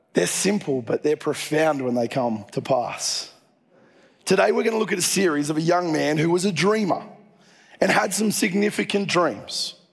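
A man with an Australian accent, high in pitch, with lively intonation at a moderate pace. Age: 40s. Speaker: pastor. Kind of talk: sermon.

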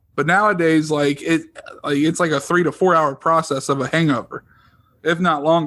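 In a quiet background, a man with a fairly high pitch uses a plain, everyday voice at very even loudness. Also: fairly even intonation, moderate pace. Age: 30s. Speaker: podcast co-host. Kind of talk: casual chat.

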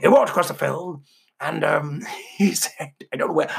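A man puts on a raspy character voice pitched high. He keeps a moderate pace. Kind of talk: storytelling, joke. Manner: pirate-like, comic.

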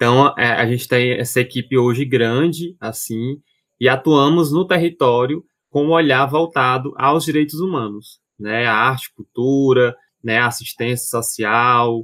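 A man's normal speaking voice at medium pitch, fairly slow, with ordinary pitch variation, on a very clean recording with a silent background. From Fortaleza, Ceará, Brazil. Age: 20s. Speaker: actor and community arts educator. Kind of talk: casual interview chat.

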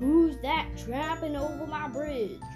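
Over clear background music, a man puts on a character voice at an extremely high pitch, speaking at a fairly slow pace. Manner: roaring, gruff, menacing.

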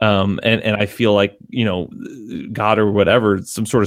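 Here a man speaks with an American accent. His pitch is fairly low and his intonation fairly even. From Connecticut. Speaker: musician. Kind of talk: casual chat. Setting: video call. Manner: halting.

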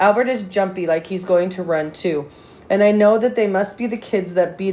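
The text is read aloud in a natural voice. Pitch variation is ordinary.

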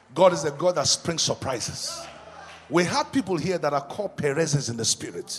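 A man's high-pitched, animated voice against noticeable background noise. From Nigeria, Yoruba. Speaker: pastor. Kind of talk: sermon. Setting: stage with audience.

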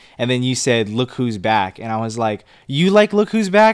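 An ordinary speaking voice with an American accent and lively intonation comes at a moderate pace. The recording is very clean, with a silent background. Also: man. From Los Angeles, US. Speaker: film review podcast co-host. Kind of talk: casual chat.

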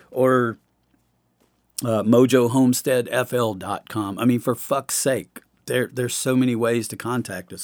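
Over a silent background in a very clean recording, a man talks at medium pitch with fairly even intonation. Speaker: podcast host. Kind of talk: solo podcast monologue, personal confessional; angry rant near 39:58. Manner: loud, fired up, profane, emphatic, pounding each point.

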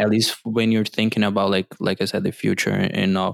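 In a Portuguese accent and fairly even intonation, a man speaks on a very clean recording with a silent background and a dry, close sound with no echo. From Brazil. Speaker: YouTuber and podcaster. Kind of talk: casual interview.

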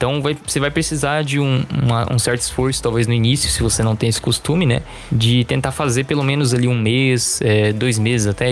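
A man's medium-pitched voice with a Brazilian accent, fairly quick pace and fairly even intonation over music in the background. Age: 20s. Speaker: heavy metal guitarist and music teacher. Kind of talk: casual interview.

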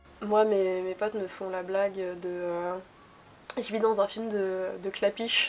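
A woman speaks very slowly at a medium pitch, her intonation fairly even. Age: 20s. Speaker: interviewee. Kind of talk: casual interview.

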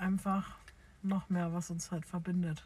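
The woman's fairly slow delivery has a somewhat breathy quality. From Bavaria, near Munich. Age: 20s. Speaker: podcast co-host, childcare worker. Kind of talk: casual chat. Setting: in a car.

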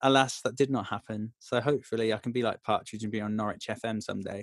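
It is a plain, everyday voice at a fairly quick pace with fairly even intonation. The sound is dry and close with no echo. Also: man. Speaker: musical theatre actor. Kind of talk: casual interview chat.

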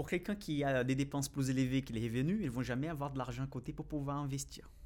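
A man with a Brazilian accent, fairly high in pitch and fairly quick in pace, on a very clean recording with a silent background. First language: Portuguese (speaking French). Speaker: finance YouTuber and financial analyst. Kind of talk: casual interview.

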